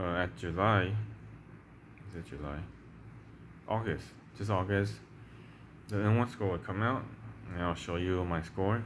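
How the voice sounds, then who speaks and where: A man with a Chinese accent and a very deep, low voice, long and frequent pauses, and audible room echo. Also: ordinary pitch variation, moderate pace. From Taiwan. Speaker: language-learning YouTuber. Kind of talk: casual tutorial. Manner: halting, many fillers and repeats.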